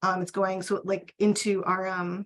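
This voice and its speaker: A woman's voice at a medium pitch. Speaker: archivist. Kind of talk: webinar Q&A.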